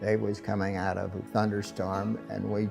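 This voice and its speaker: Music plays behind a man speaking with an American accent. His delivery is fairly slow, with monotone, flat intonation. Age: 80s+. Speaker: war veteran. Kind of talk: interview answer.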